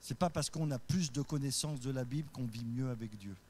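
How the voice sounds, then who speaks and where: A man speaks with ordinary pitch variation and a somewhat breathy voice. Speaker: pastor. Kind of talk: sermon. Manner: voice rises high when carried away; occasionally stumbling.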